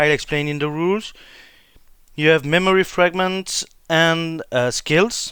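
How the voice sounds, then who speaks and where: On a very clean recording with a silent background, a man with a French accent speaks in a high, bright and sharp voice at a fairly slow pace, with long, frequent pauses. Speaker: board game YouTuber. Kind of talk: tutorial. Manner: halting.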